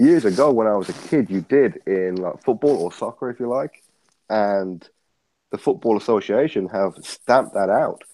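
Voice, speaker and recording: A man speaks with an English accent at a moderate pace and medium pitch. His intonation is lively, and the recording is very clean with a silent background. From England. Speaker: boxing commentator guest. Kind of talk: casual chat.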